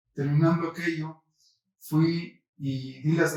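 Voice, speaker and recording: The man's voice is fairly high. His intonation stays flat and monotone. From Mexico, San Luis Potosí. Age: 70s. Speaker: senate candidate. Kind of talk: interview.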